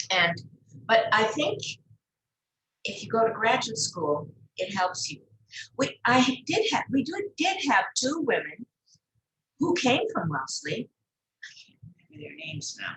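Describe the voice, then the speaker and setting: Using vocal fry and a fairly high pitch, a woman speaks at a fairly slow pace with very wide pitch swings, big swings in loudness, and long, frequent pauses. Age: 80s+. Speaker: art gallery figure. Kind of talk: interview. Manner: halting.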